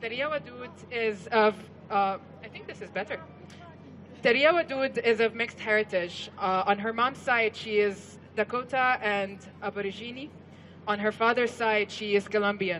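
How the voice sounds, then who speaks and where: Speaking at a moderate pace, a woman with a fairly high pitch and ordinary pitch variation is heard over noticeable background noise. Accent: Arabic. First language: Arabic. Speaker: event emcee. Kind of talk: speaker introduction.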